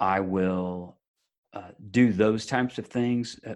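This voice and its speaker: A man with an unremarkable speaking voice talks at a fairly low pitch with fairly even intonation against a quiet background. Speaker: podcast co-host guest. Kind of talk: casual conversation.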